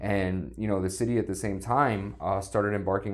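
With an American accent, a man speaks at a fairly quick pace. His fairly low voice has vocal fry. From US, South Florida. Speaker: city sustainability official. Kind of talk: podcast interview.

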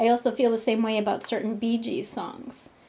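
A woman's unremarkable speaking voice, fairly high-pitched, at a moderate pace. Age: 40s. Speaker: intuitive coach and healer. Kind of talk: casual monologue; guided meditation.

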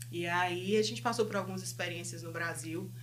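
A woman talks at a moderate pace, her voice carrying audible room echo with noticeable background noise. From Brazil, Fortaleza (Northeast). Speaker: counselor and business owner. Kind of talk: interview.

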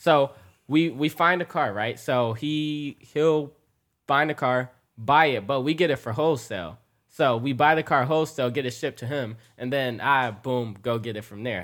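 With an American accent and a normal speaking voice, a man speaks at a medium pitch and moderate pace with ordinary pitch variation, on a very clean recording with a silent background. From Metro Detroit, Michigan. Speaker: car YouTuber.

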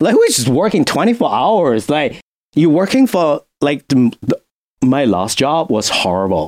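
A man with a Chinese accent talks at a fairly slow pace, with very wide pitch swings. His loudness stays very even, and the sound is dry and close with no echo. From China. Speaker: music industry professional and graduate student. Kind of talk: casual podcast interview. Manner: halting with fillers.

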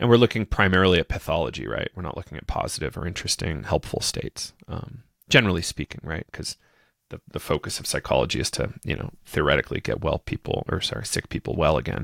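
In an American accent, a man with a very deep, low pitch, vocal fry and very wide pitch swings speaks at a very fast pace, the sound dry and close with no echo. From New Hampshire, US. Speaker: psychedelic podcaster and educator. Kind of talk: interview conversation.

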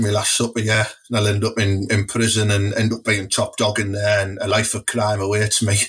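Over noticeable background noise, a man with a Teesside accent speaks at a fairly quick pace in a fairly low voice. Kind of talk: casual chat. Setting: studio. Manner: animated.

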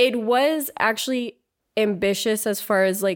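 Over a silent background in a very clean recording, a woman talks at a medium pitch with ordinary pitch variation in an unremarkable speaking voice. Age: 30s. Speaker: actress and filmmaker. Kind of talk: casual chat.

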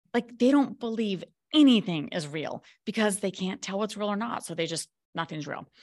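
This is a woman with an ordinary speaking voice. Her intonation is lively, and the background is quiet. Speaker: author and coach. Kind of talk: casual interview chat.

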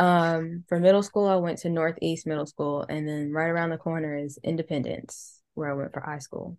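With an American accent and an ordinary speaking voice, a woman speaks at a moderate pace in a fairly low pitch, with fairly even intonation, hardly any pauses and a quiet background. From Charlotte, North Carolina. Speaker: DJ. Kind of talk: casual chat.

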